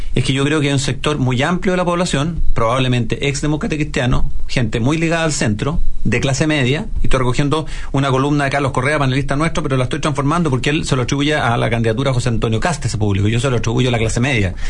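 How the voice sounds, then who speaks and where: A man speaks very fast at a fairly high pitch with ordinary variation, amid noticeable background noise and audible room echo. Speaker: radio host. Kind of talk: casual chat.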